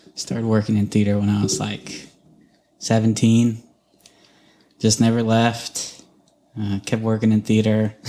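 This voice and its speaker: Long, frequent pauses break up a man's speech at a fairly slow pace. His pitch is fairly low and his intonation is monotone, flat. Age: 30s. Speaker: podcast co-host and theater worker. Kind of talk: casual chat.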